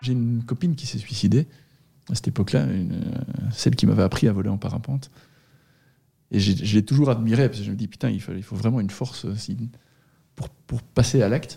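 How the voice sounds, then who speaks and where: A man at a medium pitch, with a dark, mellow tone and vocal fry, talks at a fairly quick pace with ordinary pitch variation and long, frequent pauses. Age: 40s. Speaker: former engineer and long-distance cyclist, accident survivor. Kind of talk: personal testimony interview. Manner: hesitant, with frequent repetitions.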